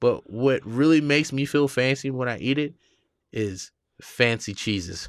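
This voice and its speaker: Heard on a very clean recording with a silent background, a man with an American accent uses an unremarkable speaking voice at medium pitch, moderate pace and ordinary pitch variation. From US South, Georgia. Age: 30s. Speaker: comedian. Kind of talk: casual chat.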